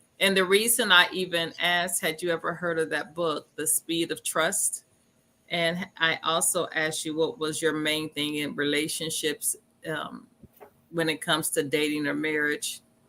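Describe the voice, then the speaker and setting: A woman talks at a moderate pace with a fairly low pitch. Her intonation stays fairly even. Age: 60s. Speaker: talk show host. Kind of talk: casual chat.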